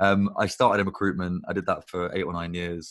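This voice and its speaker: In a British accent, the speaker keeps a fairly quick pace and fairly even intonation on a very clean recording with a silent background. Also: man. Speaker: agency founder. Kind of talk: casual chat.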